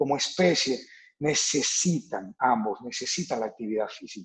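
With lively intonation and an ordinary speaking voice, a man talks at a moderate pace in a fairly high pitch. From Dominican Republic, Santo Domingo. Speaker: fitness coach. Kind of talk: interview.

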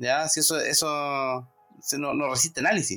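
This man speaks with a Chilean accent. His pace is moderate. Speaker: podcast host. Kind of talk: casual political chat. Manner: halting, many fillers.

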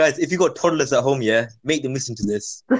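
A man talks at a fast pace with medium pitch and ordinary pitch variation.

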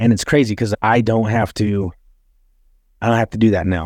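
In a very clean recording with a silent background, a man speaks with an American accent at a fairly low pitch. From Utah. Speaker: podcast host. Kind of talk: casual chat.

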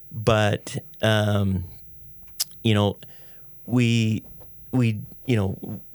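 An unremarkable speaking voice, this man's is fairly low in pitch. He has an American accent and fairly even intonation. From Idaho, US. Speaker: entrepreneur. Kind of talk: interview.

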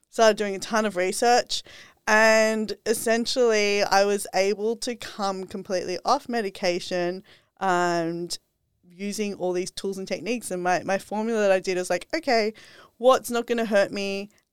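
A woman speaks at medium pitch in an Australian accent. The recording is very clean, with a silent background. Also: fairly even intonation, moderate pace, dry, close sound with no echo. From Australia, Sydney. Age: 30s. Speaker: health and wellness influencer. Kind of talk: casual interview chat.

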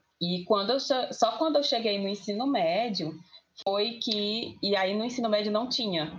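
A woman speaks at a fairly high pitch and a fairly slow pace, with ordinary pitch variation. An audible room echo surrounds her voice. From Itapajé, Ceará, Brazil. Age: 20s. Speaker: podcast panelist. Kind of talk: casual group discussion.

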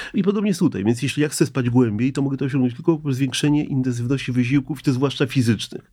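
A man speaks at a very fast pace with hardly any pauses. His tone is dark and mellow, at a medium pitch with ordinary variation. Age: 60s. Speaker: psychiatrist, sleep specialist. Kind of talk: interview. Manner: halting.

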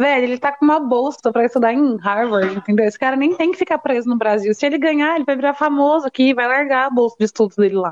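A woman talks at a very fast pace in a high voice with ordinary pitch variation and hardly any pauses. Her loudness stays very even. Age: 20s. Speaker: guest friend. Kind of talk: casual chat.

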